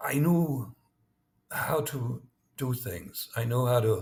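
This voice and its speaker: This man has a slight German accent and a somewhat breathy voice. His pitch varies in an ordinary way. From East Germany. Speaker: former spy. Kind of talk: interview. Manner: halting, with many repetitions.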